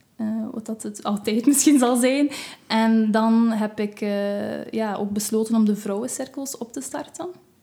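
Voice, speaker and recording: A woman's fairly high, dark and mellow voice at a fairly slow pace, with fairly even intonation. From West Flanders, Belgium. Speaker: massage therapist and witch. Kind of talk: casual interview chat.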